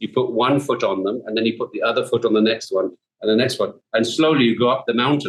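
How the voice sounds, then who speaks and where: A man talks at a medium pitch. He goes at a very fast pace. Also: ordinary pitch variation. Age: 60s. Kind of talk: casual chat. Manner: animated.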